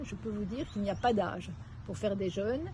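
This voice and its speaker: With a dark, mellow tone and vocal fry, a woman speaks at a medium pitch with ordinary pitch variation. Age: 70s. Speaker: retired executive, retreat participant. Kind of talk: testimonial interview. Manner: halting.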